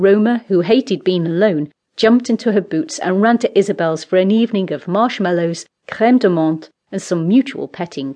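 A woman has a plain, everyday voice at a medium pitch. She speaks at a moderate pace with lively intonation. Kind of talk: audiobook narration. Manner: storytelling, measured and expressive.

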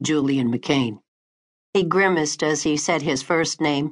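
A woman speaks in a warm, dramatic tone at a very deep, low pitch, her intonation fairly even. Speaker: audiobook narrator. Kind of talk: audiobook narration, romance fiction read aloud. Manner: dramatic, expressive, voicing characters; warm, intimate first-person storytelling.

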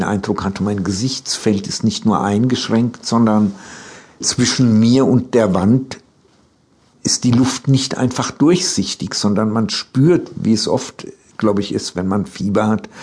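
A man speaks at medium pitch at a fairly slow pace. His pitch varies in an ordinary way. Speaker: author telling his life story. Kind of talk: elder telling life, freely improvised spoken memoir. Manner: slow, reflective, meandering; halting, with repetitions and self-corrections.

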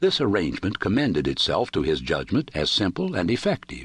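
Vocal fry at a moderate pace against a quiet background. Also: man. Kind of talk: audiobook narration of a short story. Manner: dramatic, measured, formal.

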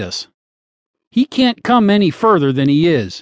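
A man's high voice with very wide pitch swings, at a moderate pace against a quiet background. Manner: plainspoken, emphatic, earnest; rhetorical, storytelling.

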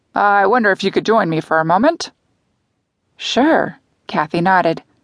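Dry and close with no echo, a normal speaking voice moves at a moderate pace with lively intonation against a quiet background. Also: woman. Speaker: audiobook narrator. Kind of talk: dramatic audiobook narration of a cozy mystery, voicing characters. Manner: expressive, shifting tone between characters, suspenseful pacing.

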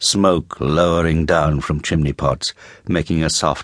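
A man speaks in a very deep, low voice with vocal fry. His tone is theatrical. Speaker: audiobook narrator. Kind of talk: dramatic audiobook narration of Dickens, atmospheric and richly descriptive. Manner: measured, vivid, theatrical.

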